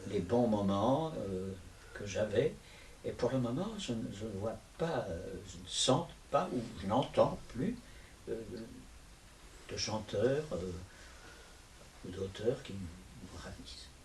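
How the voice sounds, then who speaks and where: A man talks at a very slow pace, with long, frequent pauses and big swings in loudness. Audible room echo and noticeable background noise surround him. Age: 80s+. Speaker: stage actor and puppeteer. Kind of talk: interview. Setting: video interview. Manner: halting.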